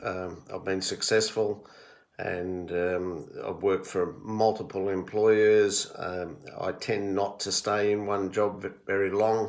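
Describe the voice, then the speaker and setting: A man with an Australian accent speaks fairly slowly at a fairly low pitch, in monotone, flat intonation. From Australia, Melbourne area (Victoria). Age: 60s. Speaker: retired-age HR professional recording family history. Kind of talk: personal monologue answering questions. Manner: hesitant, many fillers.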